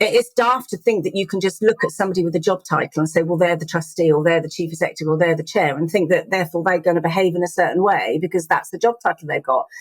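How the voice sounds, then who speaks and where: A woman's fairly low voice with an English accent, very fast and with ordinary pitch variation, in a dry, close sound with no echo. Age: 50s. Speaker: charity chief executive. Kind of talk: interview conversation.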